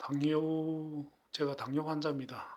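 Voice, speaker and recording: He speaks at a very slow pace. The man's pitch is fairly high. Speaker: woodworker. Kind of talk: product review.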